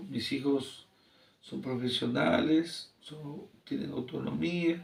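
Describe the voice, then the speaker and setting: A man at a very slow pace. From Peru, Ancash region (Santa province). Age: 60s. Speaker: engineer and teacher. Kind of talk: interview.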